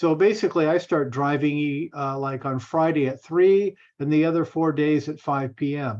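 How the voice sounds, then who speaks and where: With a plain, everyday voice, a man speaks at a moderate pace and a fairly high pitch, his intonation fairly even and hardly any pauses. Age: 60s. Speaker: bus operator and realtor. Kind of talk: casual chat. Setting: video call.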